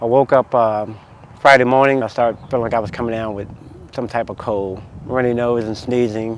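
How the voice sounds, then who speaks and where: A man with an American accent, medium pitch and monotone, flat intonation at a fairly quick pace, over noticeable background noise. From US South, North Carolina. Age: 40s. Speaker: masters track athlete. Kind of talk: documentary interview.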